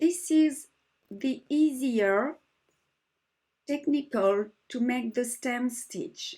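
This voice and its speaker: A woman with a French accent, high pitch and lively intonation, at a very slow pace with long, frequent pauses. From France. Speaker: embroidery teacher. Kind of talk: tutorial.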